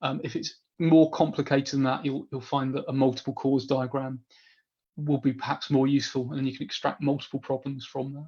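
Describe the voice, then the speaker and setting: Somewhat breathy and fairly high for a man, his voice has a dark, mellow tone and moves at a fairly quick pace. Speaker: business analysis trainer. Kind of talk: webinar Q&A. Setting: online webinar. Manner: fast; animated.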